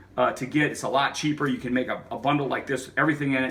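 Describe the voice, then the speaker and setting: Fairly high in pitch, a man's voice holds fairly even intonation. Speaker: outdoor survival video maker. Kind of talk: tutorial. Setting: outdoors. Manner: halting, stuttering; informal.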